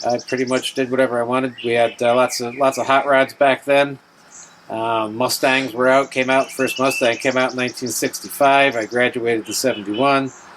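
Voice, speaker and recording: Amid noticeable background noise, a man in an American accent speaks at medium pitch and a fairly quick pace with monotone, flat intonation. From New York State, near New York City. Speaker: navy veteran. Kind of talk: oral history interview.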